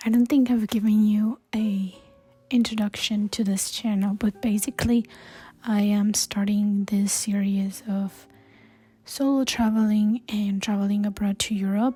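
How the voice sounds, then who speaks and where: Using a fairly slow pace, a woman speaks at a medium pitch with monotone, flat intonation, a somewhat breathy quality and a dark, mellow tone. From Colombia. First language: Spanish. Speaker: travel vlogger. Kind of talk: vlog monologue. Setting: hostel.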